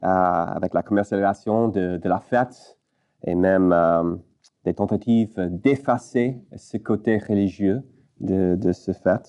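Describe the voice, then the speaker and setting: A man talks at a fairly low pitch with ordinary variation. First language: English (speaking French). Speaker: pastor. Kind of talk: sermon. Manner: halting, many hesitations.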